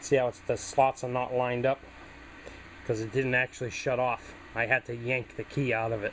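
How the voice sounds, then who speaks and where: At a fairly quick pace, a man with a New England accent speaks at a medium pitch in a monotone, flat intonation. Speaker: small engine repair hobbyist. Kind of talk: tutorial. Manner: casual, conversational.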